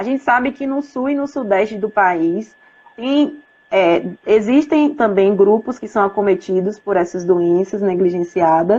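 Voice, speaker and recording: A woman with a medium pitch and lively intonation speaks at a fairly slow pace. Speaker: professor and public health researcher. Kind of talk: live-stream lecture. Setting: Instagram live video. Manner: hesitant, many fillers.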